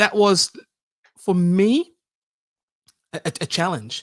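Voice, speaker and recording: A man speaks at a very slow pace, his pitch high. The sound is dry and close, with no echo. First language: Dutch. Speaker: public speaking expert. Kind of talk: panel discussion. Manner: halting, many repetitions.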